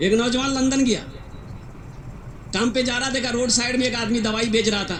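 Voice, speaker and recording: Over noticeable background noise, a man speaks at a moderate pace with a high pitch and fairly even intonation. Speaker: Islamic preacher. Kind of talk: religious sermon to a live audience. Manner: humorous storytelling.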